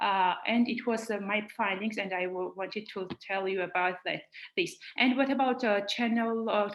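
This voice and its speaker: In a Georgian accent, a woman with a fairly high pitch talks at a moderate pace with fairly even intonation. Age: young. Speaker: young researcher. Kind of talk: online roundtable discussion. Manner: halting.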